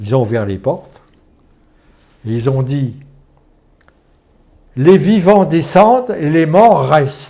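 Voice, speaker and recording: Very wide pitch swings mark this man's fairly high voice. He talks at a very slow pace with long, frequent pauses. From France. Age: 80s+. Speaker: former resistance fighter and concentration camp deportee. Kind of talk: interview answer.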